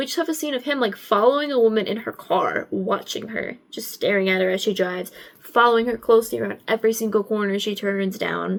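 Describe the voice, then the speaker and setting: Barely pausing, a woman talks at a fairly quick pace in a fairly high pitch with ordinary pitch variation. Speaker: film analysis video creator. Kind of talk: casual film analysis talk. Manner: fast; casual, filler-heavy.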